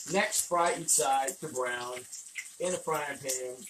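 The pace is slow as a man speaks. Room echo is audible. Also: fairly bright tone.

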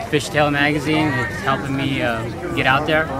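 The speaker talks at a moderate pace. Crowd noise can be heard in the background. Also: man. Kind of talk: interview answer. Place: street.

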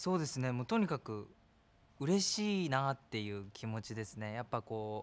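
His intonation rises and falls in a lively way. The man keeps to a moderate pace. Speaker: actor in a commercial shoot. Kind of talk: interview answer. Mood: cheerful, laughing. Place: studio.

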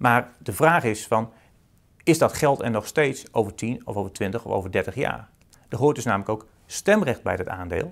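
The background is quiet. The speaker talks at a moderate pace with lively intonation. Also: man. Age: 30s. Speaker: accountant and author. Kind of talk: interview. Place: office. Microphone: lapel.

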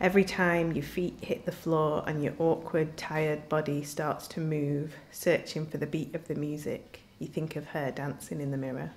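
A woman with a Yorkshire accent talks at a moderate pace with hardly any pauses, a very deep, low pitch and monotone, flat intonation. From northern England, Doncaster; northern England. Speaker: writer. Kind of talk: reading aloud. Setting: live literature event. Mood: calm, reflective.

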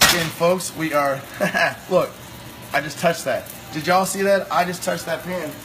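Over clear background noise, a man talks at a moderate pace and fairly high pitch.

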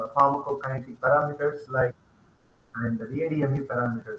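A man with an Indian accent speaks at a moderate pace in a fairly high pitch, with audible room echo and light background noise. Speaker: pharmacy professor. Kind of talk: lecture. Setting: video call. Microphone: video call.

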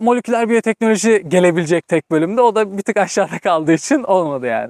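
In a dry sound with no echo and a quiet background, a man talks at a very fast pace. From Turkey, Istanbul. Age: 20s. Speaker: vocational trainee who emigrated to Germany; interviewee. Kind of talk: casual interview chat. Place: open country. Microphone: lapel.

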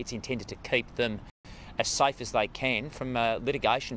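A man speaks in a monotone, flat intonation, in a dry sound with no echo over light background noise. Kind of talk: interview answer. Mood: serious, measured. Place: street.

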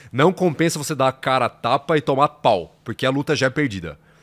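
A fairly quick pace marks this speech. The voice belongs to a man. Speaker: podcast guest. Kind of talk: interview answer. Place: studio. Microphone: studio mic.

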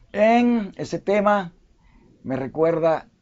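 A man with a Dominican accent and very wide pitch swings. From Dominican Republic. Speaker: online news and commentary host; online news, commentary host. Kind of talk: live history talk show.

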